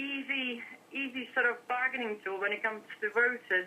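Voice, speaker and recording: A woman talks at a moderate pace in a high pitch, with ordinary pitch variation. There is noticeable background noise. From Czech Republic. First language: Czech. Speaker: interviewee, immigrant. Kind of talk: broadcast interview. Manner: hesitant, with fillers and repetitions.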